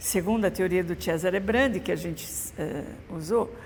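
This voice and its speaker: A woman speaks at a moderate pace with vocal fry and ordinary pitch variation. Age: 70s. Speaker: mosaic restorer. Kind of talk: interview testimony. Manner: hesitant, with filler sounds.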